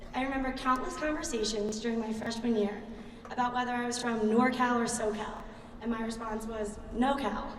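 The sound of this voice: With a Philadelphia accent, a woman speaks at a fairly high pitch and fairly even intonation, taking few pauses, with audible room echo around her. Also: fairly quick pace. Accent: Philadelphia American.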